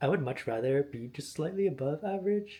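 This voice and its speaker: A man with an American accent talks at a fairly quick pace with lively intonation. His voice is somewhat breathy, with a dark, mellow tone. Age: 20s. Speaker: vlogger. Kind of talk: casual vlog monologue. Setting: at home.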